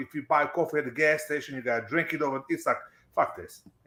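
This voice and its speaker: Talking at a very fast pace with a non-native accent, a man shows vocal fry, a fairly high pitch and ordinary pitch variation. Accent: foreign accent, others make fun of it. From abroad, non-English-speaking country. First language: not English. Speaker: stream guest. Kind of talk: casual chat.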